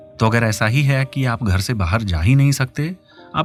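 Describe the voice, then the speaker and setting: Music plays in the background while the words come at a moderate pace. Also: man. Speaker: radio host. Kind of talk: radio call-in advice show. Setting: studio.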